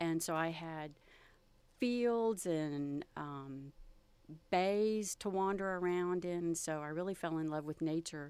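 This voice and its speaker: In a Texan accent, a woman talks at a very slow pace with a fairly low pitch and ordinary pitch variation, recorded very cleanly against a silent background. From Texas, Galveston. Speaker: photographer. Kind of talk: interview.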